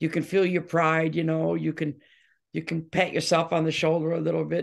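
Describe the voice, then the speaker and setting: An American woman speaks at a moderate pace with a very deep, low pitch and vocal fry. The background is quiet. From Detroit, Michigan, USA. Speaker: rock singer and bass guitarist. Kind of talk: interview answer.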